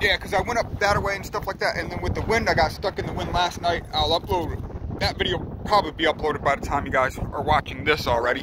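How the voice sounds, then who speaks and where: With lively intonation and a moderate pace, a man speaks in a dry sound with no echo while background noise is noticeable. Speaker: traveling vlogger. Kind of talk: casual vlog chat. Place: open country. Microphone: phone near.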